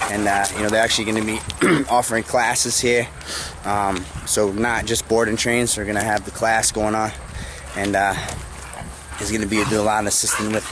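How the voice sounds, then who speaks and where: Speaking at a fairly quick pace, a man keeps a monotone, flat intonation. The sound is dry with no echo, but noticeable background noise is present. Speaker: dog trainer vlogger. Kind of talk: casual vlog chat. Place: open country. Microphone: phone near.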